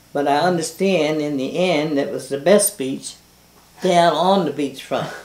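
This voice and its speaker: The speech moves at a fairly slow pace. Noticeable background noise runs beneath it. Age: 80s+. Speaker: local resident interviewee. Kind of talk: oral history interview.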